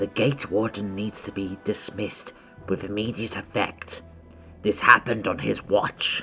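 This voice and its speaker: Clear music plays behind a man doing a put-on character voice. His raspy delivery sits at a fairly low pitch and moderate pace. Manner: stern, commanding.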